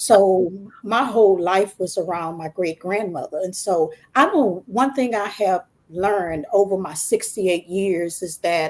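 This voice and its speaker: In a plain, everyday voice, a woman with an American accent talks at a fairly slow pace and medium pitch with ordinary pitch variation. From Texas. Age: 60s. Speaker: author. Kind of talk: testimony.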